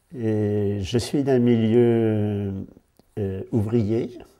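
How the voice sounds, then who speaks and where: This man's voice is fairly low in pitch, dark and mellow in tone, with fairly even intonation. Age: 70s. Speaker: parish priest. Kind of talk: interview. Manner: hesitant, with fillers and repeated words.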